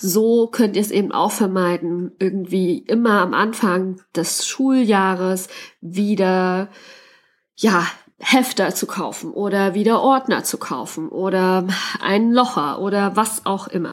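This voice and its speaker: Speaking very slowly, a woman uses a mid-range voice that rises and falls in a usual way. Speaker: podcast host and teacher. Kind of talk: solo podcast monologue. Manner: casual, with many fillers.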